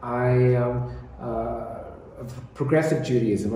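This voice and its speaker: With an American accent, a man talks in a space with audible room echo. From US East Coast. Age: 60s. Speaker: interfaith network founder. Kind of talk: interview. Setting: office.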